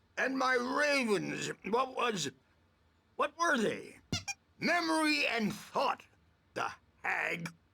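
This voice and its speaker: A man uses a put-on character voice at an extremely high pitch. He speaks very slowly, with long, frequent pauses. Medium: video game. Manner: rambling, distracted.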